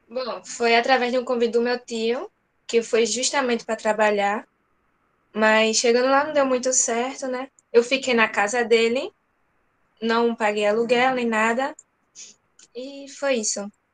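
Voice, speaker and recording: At a fairly slow pace with long, frequent pauses, a woman with a high pitch speaks with fairly even intonation against a quiet background. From Brazil, Northeast (Camaragibe, Pernambuco). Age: 20s. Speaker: interviewee, former migrant. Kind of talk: interview. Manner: brief answers.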